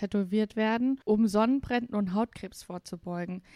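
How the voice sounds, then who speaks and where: A woman has a plain, everyday voice, fairly high in pitch with fairly even intonation. The sound is dry and close with no echo. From Saarland, Germany. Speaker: podcast host. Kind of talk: casual chat.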